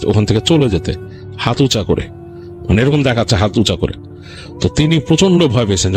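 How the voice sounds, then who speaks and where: A man at a medium pitch speaks in a dramatic tone with lively intonation while music plays in the background. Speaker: horror story narrator / radio host. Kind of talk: horror story narration. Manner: dramatic, suspenseful storytelling.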